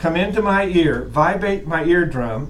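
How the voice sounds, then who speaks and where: This man speaks loudly and at a fairly slow pace, with a high pitch and an American accent. The room echo is audible. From US Midwest (Wisconsin). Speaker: college instructor. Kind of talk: lecture. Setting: classroom with online students.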